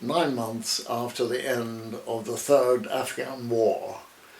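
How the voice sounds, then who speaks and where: A man's very slow, fairly even delivery with audible room echo and noticeable background noise. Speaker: retired army officer. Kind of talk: interview.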